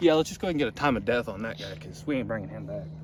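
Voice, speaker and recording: The speaker talks at a very fast pace with vocal fry. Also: man. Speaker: outdoors video host. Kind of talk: casual vlog wrap-up.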